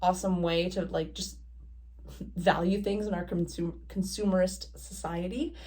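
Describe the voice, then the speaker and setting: In a Canadian accent, the speaker talks at a fairly slow pace with monotone, flat intonation and audible room echo. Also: woman. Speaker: knitting podcaster, student teacher. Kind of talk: casual vlog monologue. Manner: casual, many fillers; mouth clicking sounds.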